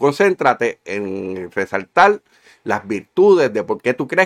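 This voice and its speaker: A man talks at a moderate pace with a fairly high pitch and very wide pitch swings. The sound is dry and close, with no echo. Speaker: podcast co-host, engineer. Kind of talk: casual political chat.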